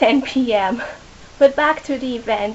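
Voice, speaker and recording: A woman's high voice at a very slow pace against noticeable background noise. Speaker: book vlogger. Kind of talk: casual vlog.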